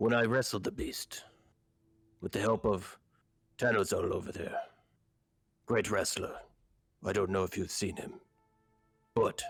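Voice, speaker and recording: Over music in the background, a man uses a raspy put-on character voice at medium pitch, moving at a moderate pace with long, frequent pauses. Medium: actual play. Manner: blunt, simple phrasing.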